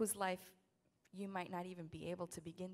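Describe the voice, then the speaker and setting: Speaking at a fairly quick pace, a woman has a fairly low voice with vocal fry. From South Side of Chicago. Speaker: spoken word poet. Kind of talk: poem introduction.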